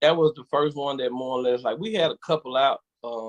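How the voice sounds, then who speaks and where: A man with a Southern US accent talks at a fairly high pitch and moderate pace, with ordinary pitch variation, in a dry, close sound with no echo. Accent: country Southern. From Verona, Mississippi. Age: 40s. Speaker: quartet gospel singer. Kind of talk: interview.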